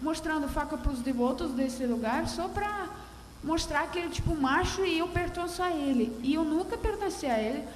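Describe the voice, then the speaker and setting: With a Russian accent, a woman speaks at a high pitch and a moderate pace, her intonation lively. Audible room echo and noticeable background noise fill the recording. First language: Russian (speaking Portuguese). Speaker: audience member. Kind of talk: question from the floor at a round table. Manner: halting.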